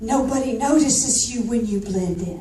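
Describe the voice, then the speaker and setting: With a Southern accent, a woman talks amid audible room echo and noticeable background noise. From US South, Georgia. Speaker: motivational speaker. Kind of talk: keynote speech. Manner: animated.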